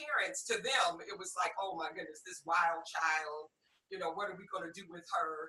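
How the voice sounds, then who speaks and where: An ordinary speaking voice with an American accent moves along at a moderate pace. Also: woman. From US Midwest, Detroit, Michigan. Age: 60s. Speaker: podcast guest. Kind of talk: personal testimony interview.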